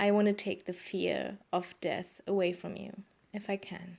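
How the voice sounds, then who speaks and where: A woman speaks with a German accent at medium pitch. The recording is very clean, with a silent background. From Germany. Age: 30s. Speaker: podcaster. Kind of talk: casual monologue. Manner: halting, many fillers.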